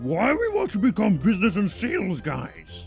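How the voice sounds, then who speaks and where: A man's put-on character voice at a moderate pace, with clear music in the background. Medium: read story. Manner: broken grammar, simple.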